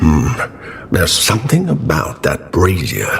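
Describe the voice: In a cartoonish character voice, a man growls at a fairly slow pace. Background noise is clearly present.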